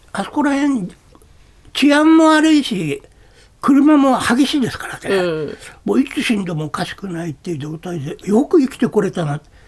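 At a moderate pace, a man talks with big swings in loudness and very wide pitch swings. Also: extremely high pitch for a man. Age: 60s. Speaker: calligrapher. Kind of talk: interview. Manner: casual.

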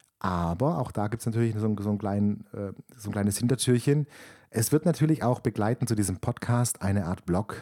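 The recording is very clean, with a silent background. A man speaks at a fairly quick pace in a fairly low, dark, mellow voice with ordinary pitch variation. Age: 30s. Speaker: podcast host and camper van rental owner. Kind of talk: casual monologue. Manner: hesitant with many fillers.

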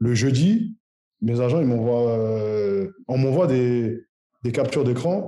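A man's dark, mellow voice at medium pitch, very slow in pace, with lively intonation and very even loudness. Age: 30s. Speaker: footballer. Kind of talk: interview. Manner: halting.

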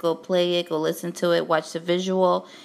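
A woman with a Brooklyn accent speaks at a fairly low pitch. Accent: Brooklyn New York. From Brooklyn, New York City. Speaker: music artist representative and podcast host. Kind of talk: casual podcast intro, informal address. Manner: casual, chatty, filler words.

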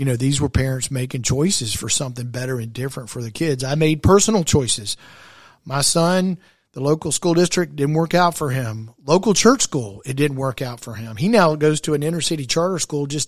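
In a very clean recording with a silent background, a somewhat breathy voice with an American accent moves at a fairly quick pace with ordinary pitch variation. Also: man, fairly high pitch for a man. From South Carolina, West Columbia. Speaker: podcast host, charter school advocate. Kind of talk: interview.

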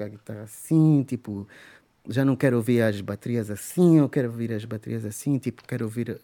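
This man talks at a fairly quick pace in a medium pitch, his tone dark and mellow, with ordinary pitch variation. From Angola, Luanda. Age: 40s. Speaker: musician. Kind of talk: casual chat.

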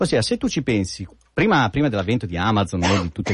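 A somewhat breathy man at a very fast pace. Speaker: app developer, regular guest. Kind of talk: casual chat. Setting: radio studio. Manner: joking, humorous.

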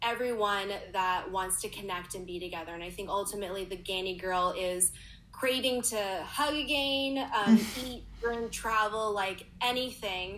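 A woman speaks with a Canadian accent in a plain, everyday voice. Her pace is fairly slow, her pitch medium, with ordinary pitch variation. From Canada, Toronto. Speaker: store manager. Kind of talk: casual interview.

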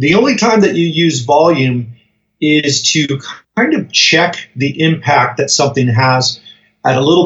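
A man with an unremarkable speaking voice talks at a moderate pace and a fairly high pitch. His loudness stays very even, and his pitch varies in an ordinary way. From US Colorado. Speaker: music production trainer. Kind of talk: interview.

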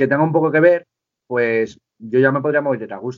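Fairly quick, lively intonation in a normal speaking voice. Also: man. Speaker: rapper and music producer. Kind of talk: casual interview chat.

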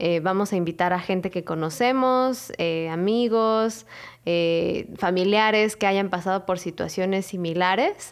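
In a Mexican accent, a woman talks at a fairly slow pace and a medium pitch, her pitch varying in an ordinary way. Her loudness stays very even against a quiet background. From Mexico. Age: 20s. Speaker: podcast co-host. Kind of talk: casual chat.

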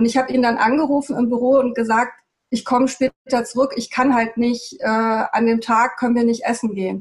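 Her high-pitched voice holds a monotone, flat intonation throughout. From Germany, Hesse (Darmstadt), born in Peru. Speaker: architect, TEDx organizer. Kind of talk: interview. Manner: halting, many fillers.

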